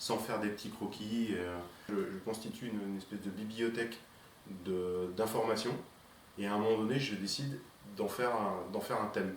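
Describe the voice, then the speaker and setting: Over noticeable background noise and audible room echo, a man talks with a fairly low pitch and fairly even intonation. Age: 50s. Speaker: painter. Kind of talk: interview. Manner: halting, many fillers and repetitions.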